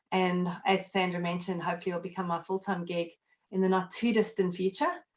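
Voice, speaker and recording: A woman's very fast, monotone speech in a South African accent, medium in pitch and flat in intonation. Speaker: accountant and network marketer. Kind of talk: interview. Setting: live video stream from home.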